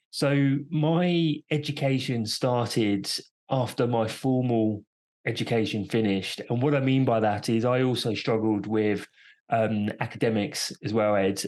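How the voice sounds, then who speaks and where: A man with a British accent talks at a fairly slow pace. His pitch is medium and his loudness very even. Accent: British, noticeable to US listeners. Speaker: entrepreneur and endurance athlete. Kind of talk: podcast interview. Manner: hesitant, many fillers.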